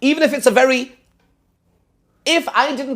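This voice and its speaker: A man speaks at a moderate pace. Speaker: rabbi teaching a seminar class. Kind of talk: lecture with class discussion.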